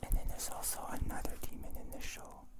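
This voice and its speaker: A whisper comes through against noticeable background noise. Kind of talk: ASMR ramble. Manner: whispered; soft.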